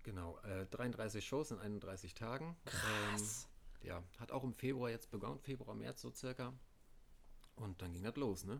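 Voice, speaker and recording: Vocal fry marks a man's medium-pitched voice. He speaks at a fairly slow pace with long, frequent pauses. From Mecklenburg, Parchim. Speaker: band tour crew and merch worker. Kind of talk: casual chat. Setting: at home.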